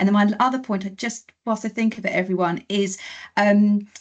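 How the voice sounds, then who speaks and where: This is a woman's voice. It sounds somewhat breathy. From East London. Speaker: workshop host, solicitor. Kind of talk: online workshop.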